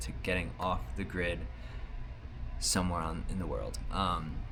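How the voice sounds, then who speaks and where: There is audible room echo as a man with an American accent talks at a moderate pace. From United States. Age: 30s. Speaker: vlogger, artist. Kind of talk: video diary. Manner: casual, hesitant with fillers.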